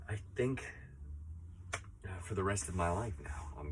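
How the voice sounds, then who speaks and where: Noticeable background noise behind a man talking at a middling tempo. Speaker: teacher and project founder who kept a year of silence. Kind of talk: casual talk to camera, personal reflection. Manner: thoughtful, sincere, slightly emotional, with hesitations and filler words.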